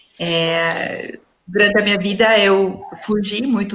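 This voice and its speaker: A woman is speaking, and noticeable background noise can be heard behind her. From Peru. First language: Spanish (speaking Portuguese). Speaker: leadership and dialogue facilitator. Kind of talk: panel talk in a live stream. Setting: online live stream. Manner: halting, with many fillers.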